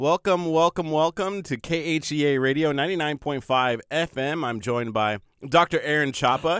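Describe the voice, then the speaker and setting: A man with an American accent speaks in a normal speaking voice, fairly high in pitch, with lively intonation, at a moderate pace with hardly any pauses, in a very clean recording with a silent background. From Nebraska, US Midwest. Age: 30s. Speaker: radio host. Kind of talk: casual radio chat. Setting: radio studio.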